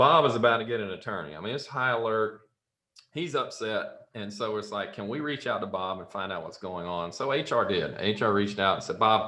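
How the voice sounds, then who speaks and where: A man with a Southern US accent talks at a fairly quick pace with audible room echo. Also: fairly low pitch for a man, ordinary pitch variation. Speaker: software company founder and CEO. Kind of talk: podcast interview, storytelling.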